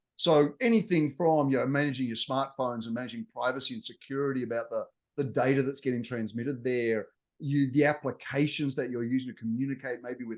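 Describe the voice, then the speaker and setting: At a fairly quick pace, a man talks with an Australian accent and ordinary pitch variation. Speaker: technology executive and consultant. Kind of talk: interview.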